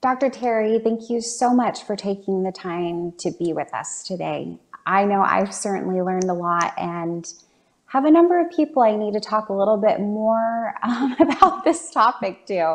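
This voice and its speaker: A woman speaks at a moderate pace in a fairly high voice. Her intonation is lively. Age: 30s. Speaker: talk show host and community center coordinator; talk show host. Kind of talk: interview. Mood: warm, attentive. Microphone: video call.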